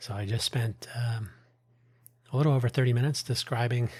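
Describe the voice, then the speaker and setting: A man talks at a medium pitch in a somewhat breathy voice. The recording is very clean with a silent background. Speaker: podcast host. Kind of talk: solo podcast monologue. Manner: casual, hesitant with fillers.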